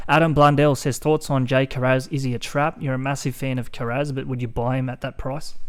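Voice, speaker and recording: A man with an Australian accent, monotone, flat intonation and a fairly quick pace. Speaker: fantasy sports podcast host. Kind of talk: casual podcast chat.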